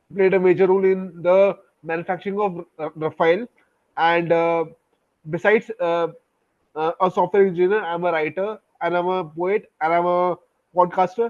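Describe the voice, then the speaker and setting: The intonation is monotone and flat. Delivery moves at a moderate pace with long, frequent pauses. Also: man, high pitch for a man. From India, Delhi region. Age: 20s. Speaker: software engineer and poet. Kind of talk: interview. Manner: halting, many fillers.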